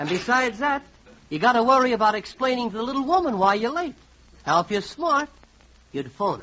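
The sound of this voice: Over faint crowd noise, a man puts on a character voice at an extremely high pitch, bright and sharp in tone, with big pitch swings and a fairly quick pace.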